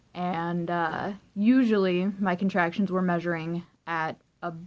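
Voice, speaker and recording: A woman's voice, fairly low in pitch, sounds shaky with monotone, flat intonation. The recording is very clean, with a silent background. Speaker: vlogger. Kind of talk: personal storytelling vlog. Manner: shaky voice; rambling, filler-heavy.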